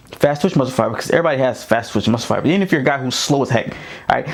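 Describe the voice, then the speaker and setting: A man's voice against noticeable background noise. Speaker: football coach and running back. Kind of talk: tutorial. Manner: fast; animated.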